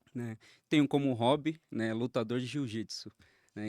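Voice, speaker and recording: A plain, everyday voice belongs to a man speaking at medium pitch and moderate pace. His intonation stays fairly even, and the sound is dry and close with no echo. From Jandira, São Paulo region, Brazil. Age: 30s. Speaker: accountant and pastor. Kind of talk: interview.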